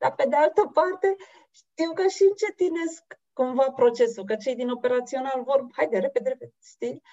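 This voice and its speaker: A woman talks at a moderate pace in a high pitch, her voice making very wide pitch swings. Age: 40s. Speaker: interviewer. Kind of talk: interview.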